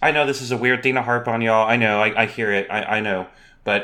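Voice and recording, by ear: The voice stays fairly even in its intonation. It is someone reading aloud in a natural voice.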